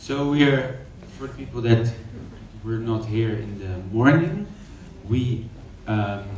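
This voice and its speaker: With long, frequent pauses, a man talks at a very slow pace amid audible room echo and noticeable background noise. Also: medium pitch for a man, ordinary pitch variation, big swings in loudness. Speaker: aroma lab presenter. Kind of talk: presentation.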